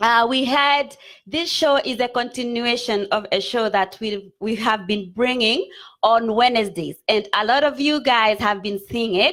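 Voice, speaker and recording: A woman with a Kenyan accent talks at a fairly high pitch, with ordinary pitch variation. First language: Kikuyu. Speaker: online show host. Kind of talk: live stream talk show.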